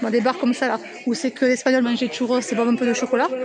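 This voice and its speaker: A woman talking at a very fast pace over noticeable background noise. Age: 40s. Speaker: vlogger. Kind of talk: casual vlog narration. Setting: outdoors.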